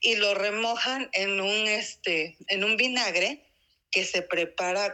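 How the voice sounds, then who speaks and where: A woman of medium pitch speaks with an Oaxacan accent and ordinary pitch variation. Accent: Mexican Spanish (Oaxaca). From Mexico, Oaxaca city. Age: 40s. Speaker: interviewee on local traditions. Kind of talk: casual interview. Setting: remote call. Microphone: poor audio.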